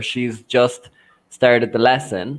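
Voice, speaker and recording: A man speaks at medium pitch in an Irish accent. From Ireland. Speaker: language student. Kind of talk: online conversation class. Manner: halting.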